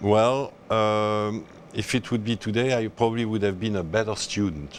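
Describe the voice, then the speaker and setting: A man with a French accent, fairly low in pitch, fairly even in intonation, at a fairly slow pace. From France, Alsace. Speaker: endurance horse rider. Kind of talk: interview. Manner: halting.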